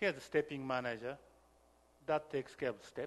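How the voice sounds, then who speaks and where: Speaking with a non-native accent, a man talks at a fairly quick pace and a medium pitch. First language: not English. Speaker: software developer and workshop lecturer. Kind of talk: lecture.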